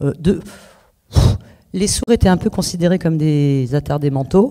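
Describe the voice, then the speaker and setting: Speaking at a fairly slow pace, a woman uses a very deep, low pitch with ordinary variation in it. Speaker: author. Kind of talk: interview. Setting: public book presentation. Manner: halting, many fillers and repetitions.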